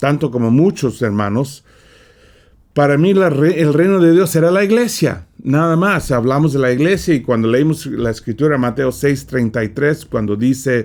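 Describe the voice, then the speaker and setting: Very even in loudness, a man talks at a fairly slow pace. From California. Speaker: preacher. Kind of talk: sermon. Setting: studio.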